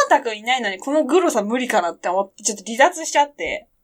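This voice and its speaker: A woman's high-pitched voice. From Japan, Yamanashi. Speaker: podcast co-host. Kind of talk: casual chat.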